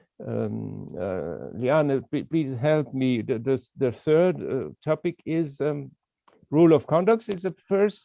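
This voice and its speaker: Very slow speech in a non-native accent, with very wide pitch swings. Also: man, fairly high pitch for a man. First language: not English. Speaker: walking trail association representative. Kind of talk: video call interview. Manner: halting, many hesitations.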